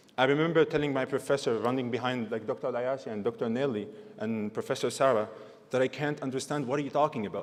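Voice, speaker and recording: A man with a non-native accent, a medium pitch, ordinary pitch variation and a fairly quick pace. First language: not English. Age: 20s. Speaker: graduating student speaker. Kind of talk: convocation speech.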